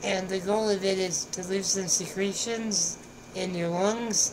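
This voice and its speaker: Speaking in a flat monotone, a woman comes through over noticeable background noise. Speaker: vlogger sharing hospital experiences. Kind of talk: casual vlog chat. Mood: relaxed, light humor. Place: home room. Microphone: headset.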